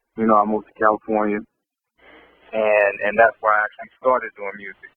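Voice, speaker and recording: A man talks at a fairly quick pace in a fairly low, monotone, flat voice. His loudness swings a lot. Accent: American. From US Midwest, St. Louis, Missouri. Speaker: rapper. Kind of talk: interview. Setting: phone call.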